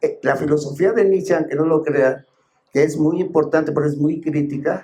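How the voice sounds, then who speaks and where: Man's voice, dark and mellow, at a fairly high pitch. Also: fairly even intonation, moderate pace. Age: 80s+. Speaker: philosopher and author. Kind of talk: book presentation talk. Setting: bookstore event with audience. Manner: halting, with many fillers.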